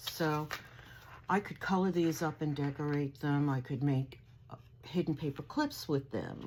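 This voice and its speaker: Speaking very slowly, a woman uses a very deep, low pitch. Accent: American. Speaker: crafting vlogger. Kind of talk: haul video show-and-tell. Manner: animated.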